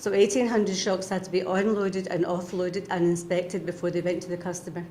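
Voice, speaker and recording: Delivered at a very fast pace in a Scottish accent, the monotone, flat speech comes with audible room echo and noticeable background noise. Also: woman, medium pitch for a woman. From Scotland. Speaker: retired union member. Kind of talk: interview.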